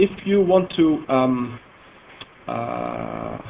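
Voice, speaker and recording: A man speaks with a Dutch accent. Noticeable background noise runs behind him. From Netherlands. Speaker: software engineer presenting a database product. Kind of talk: technical seminar presentation. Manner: halting, with many fillers.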